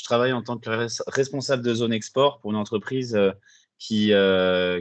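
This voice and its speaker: Over a quiet background, a man speaks at a moderate pace. His pitch is medium and his intonation fairly even. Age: 20s. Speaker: coaching client, export manager. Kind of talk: interview testimony. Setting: video call. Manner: hesitant, many filler sounds.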